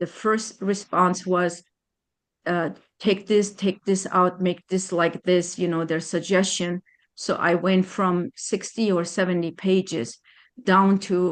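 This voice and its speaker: A woman speaks very slowly at a medium pitch with fairly even intonation. She talks in a non-native accent. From Germany. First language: not English. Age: 60s. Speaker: attorney. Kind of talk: testimony. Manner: halting.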